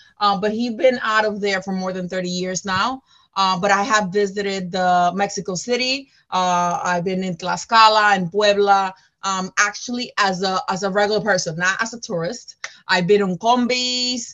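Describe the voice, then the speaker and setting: With a Spanish accent, a woman talks at a medium pitch. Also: moderate pace. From Dominican Republic. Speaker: school counselor and real estate investor. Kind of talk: interview. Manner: animated.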